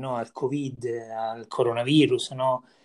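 A man in a normal speaking voice, medium pitch, fairly slow pace and fairly even intonation, on a very clean recording with a silent background. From Viterbo area, central Italy. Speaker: podcast host. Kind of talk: casual interview.

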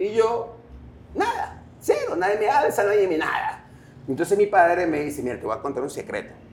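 A man talks fairly quickly. Noticeable noise can be heard behind him. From Guayaquil, Ecuador. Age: 40s. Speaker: rock musician. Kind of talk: interview. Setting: coffee shop.

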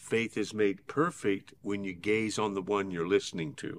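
An unremarkable speaking voice from a man, fairly low in pitch with ordinary variation, at a fairly slow pace, in a very clean recording with a silent background. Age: 60s. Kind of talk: conversational Bible teaching. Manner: earnest, steady, exhortative.

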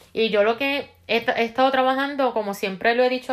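The voice belongs to a woman. Behind her is a silent background in a very clean recording. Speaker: self-help video host. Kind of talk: casual monologue. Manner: fast; halting, many repeated words.

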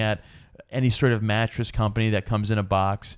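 With a plain, everyday voice, a man speaks at a medium pitch with fairly even intonation. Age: 40s. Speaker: podcast co-host. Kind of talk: casual chat. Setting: home recording late at night.

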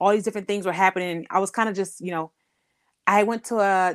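A woman talks at a fairly quick pace and medium pitch with fairly even intonation. The recording is very clean, with a silent background and a dry, close sound with no echo. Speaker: chronic illness patient advocate. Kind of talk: casual interview.

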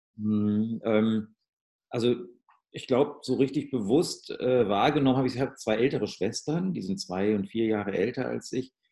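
Spoken in a normal speaking voice, the clip moves at a moderate pace with ordinary pitch variation. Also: man, medium pitch for a man. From Ruhr area, Germany. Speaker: musician and audio branding consultant. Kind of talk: casual interview.

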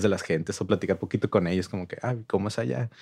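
On a very clean recording with a silent background, a man speaks in a very deep, low voice with vocal fry. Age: 30s. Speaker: music venue manager and promoter. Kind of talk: casual chat.

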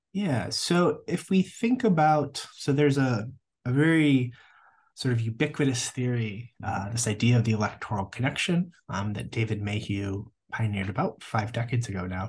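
Lively intonation marks a man's somewhat breathy voice at a medium pitch. He talks at a moderate pace over a quiet background. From US Midwest. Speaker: political science professor. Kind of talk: interview.

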